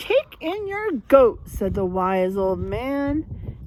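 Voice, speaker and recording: A put-on character voice at a very slow pace, with very wide pitch swings over clear background noise. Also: woman, high pitch for a woman. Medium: read story.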